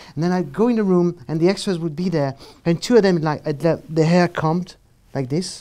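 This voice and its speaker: A moderate pace in a French accent. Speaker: film director. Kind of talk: panel discussion. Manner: halting.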